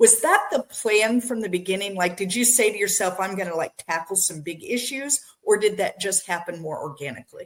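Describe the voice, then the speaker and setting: With an ordinary speaking voice, a woman of medium pitch talks at a fairly quick pace, her intonation lively and her speech hardly pausing at all. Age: 60s. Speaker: podcast host. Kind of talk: interview. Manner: casual, conversational.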